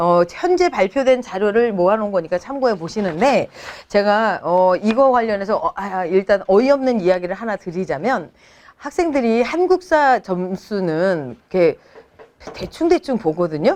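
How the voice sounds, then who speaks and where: Her pitch is medium and swings very widely. The woman speaks at a moderate pace. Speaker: essay-writing cram school teacher. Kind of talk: informational talk to parents. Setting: seminar room with parent audience.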